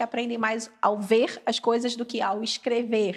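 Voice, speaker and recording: Her intonation flat and monotone, a woman speaks with a Carioca accent. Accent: carioca Brazilian. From Brazil, Rio de Janeiro. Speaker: English education specialist. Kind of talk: casual podcast chat.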